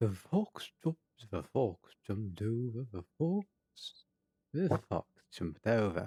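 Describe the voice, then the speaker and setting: A man speaks at a fairly slow pace in a put-on character voice, his pitch sitting in the middle range. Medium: actual play.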